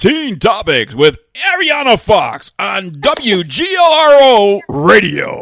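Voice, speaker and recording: In a put-on character voice, a man speaks with an extremely high pitch. He goes at a very slow pace with hardly any pauses. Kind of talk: official broadcast.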